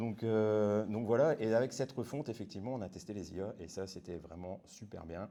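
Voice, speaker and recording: Hardly pausing, a man talks at a moderate pace in a fairly low, dark, mellow voice with ordinary pitch variation and big swings in loudness. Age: 40s. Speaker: web developer. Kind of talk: conference talk. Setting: meetup with audience. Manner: casual.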